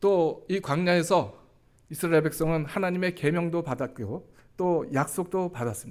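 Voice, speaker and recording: In a very clean recording with a silent background, a man speaks at a high pitch and moderate pace with ordinary pitch variation. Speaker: church elder. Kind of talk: sermon.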